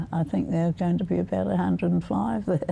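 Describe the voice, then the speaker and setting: Her voice is very deep and low, with a dark, mellow tone. This woman's pitch swings very widely. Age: 80s+. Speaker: centenarian interviewee. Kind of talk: TV interview. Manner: halting.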